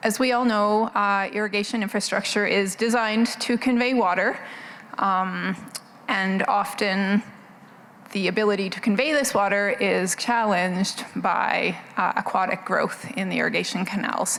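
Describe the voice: Soft-spoken, a woman with a medium pitch and a fairly bright tone talks at a fairly slow pace with fairly even intonation and vocal fry.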